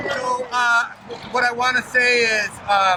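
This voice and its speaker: Amid noticeable background noise, a man with an American accent speaks in a raised, projected voice. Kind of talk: public speech.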